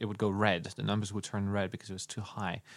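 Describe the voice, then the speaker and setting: On a very clean recording with a silent background, a man with a French accent speaks at a fairly low pitch. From France. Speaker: podcast host. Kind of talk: casual chat. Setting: studio.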